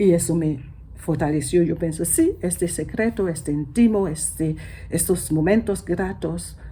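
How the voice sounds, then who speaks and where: The voice has a non-native accent, a dark, mellow tone and vocal fry. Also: woman, fairly low pitch for a woman, ordinary pitch variation, fairly slow pace. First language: not Spanish (speaking Spanish). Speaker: church member. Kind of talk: testimony. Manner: halting.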